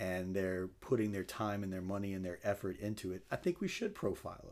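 A man with an American accent speaks at a fairly low pitch and with fairly even intonation, on a very clean recording with a silent background. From South Louisiana (Crowley). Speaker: meat company sales executive, military veteran. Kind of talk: interview.

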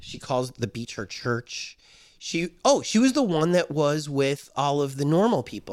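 An ordinary speaking voice from a man, fairly high in pitch and lively in intonation, at a fairly slow pace on a very clean recording with a silent background. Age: 50s. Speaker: podcast host. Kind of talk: casual interview.

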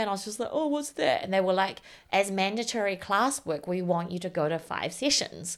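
A woman with a New Zealand accent speaks with lively intonation. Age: 30s. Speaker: writer and software developer. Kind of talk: casual chat.

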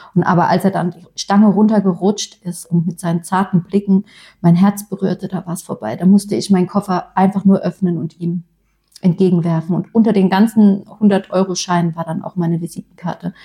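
Somewhat breathy delivery with a dark, mellow tone, monotone, flat intonation, a fairly quick pace and big swings in loudness. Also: woman, medium pitch for a woman. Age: 30s. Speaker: podcast co-host, influencer. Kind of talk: casual chat.

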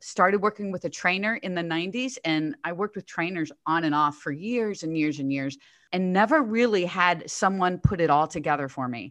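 A normal speaking voice talks at a fairly quick pace with hardly any pauses and lively intonation against a quiet background. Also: woman, fairly low pitch for a woman. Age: 60s. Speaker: fitness coach and author. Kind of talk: casual interview.

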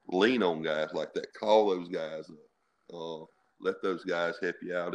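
Very deep and low, a man's voice holds a flat monotone at a moderate pace in a Mississippi accent. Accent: Southern US (Mississippi). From US South (Mississippi). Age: 50s. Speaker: high school football coach. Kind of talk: interview.

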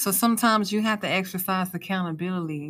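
Recorded very cleanly against a silent background, a woman with an ordinary speaking voice talks at a moderate pace and medium pitch with ordinary pitch variation. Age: 30s. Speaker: podcast host. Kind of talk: solo monologue podcast. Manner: casual.

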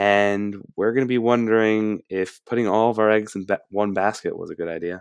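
Here is an ordinary speaking voice with fairly even intonation, moving at a moderate pace with hardly any pauses. The recording is very clean, the background silent. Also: man, fairly low pitch for a man. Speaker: podcast host. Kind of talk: sports podcast discussion.

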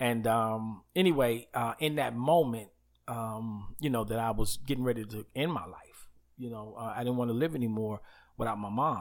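A man with an American accent talks in an unremarkable speaking voice at medium pitch and a moderate pace, with ordinary pitch variation. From New York (Queens, Uniondale, Long Island). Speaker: pastor. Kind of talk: casual interview.

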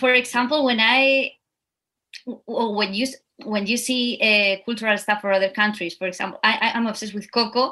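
A woman's fairly high, bright and sharp voice with a Spanish accent and fairly even intonation. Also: moderate pace. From Spain. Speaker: dancer and actor. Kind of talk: interview.

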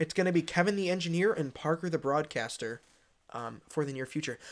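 At a very fast pace, a man with a fairly high pitch speaks in a very clean recording with a silent background. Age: young. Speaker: podcast host, recent high school graduate. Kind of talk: casual chat. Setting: makeshift home studio. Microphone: new microphone.

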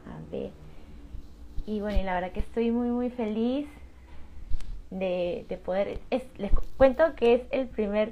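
A woman speaks with a dark, mellow tone and a fairly high pitch. Her pitch varies in an ordinary way, and her pace is fairly slow. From Peru. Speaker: digital marketing entrepreneur. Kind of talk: live stream chat. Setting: live stream.

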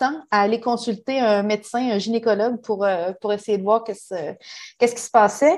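Ordinary pitch variation and a moderate pace in a woman's fairly high voice. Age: 40s. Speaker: human resources professional. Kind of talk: personal testimony. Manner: halting.

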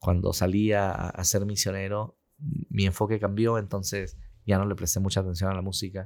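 A man with an ordinary speaking voice talks at a fairly slow pace in a fairly low pitch, with fairly even intonation. The recording is very clean, with a silent background. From Peru. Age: 40s. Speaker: sales director. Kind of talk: interview conversation.

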